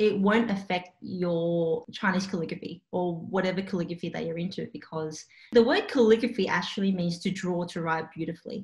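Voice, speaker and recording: A woman with an Australian accent speaks at a medium pitch with fairly even intonation. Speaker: calligrapher and small business owner. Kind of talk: casual interview. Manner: casual, hesitant with fillers.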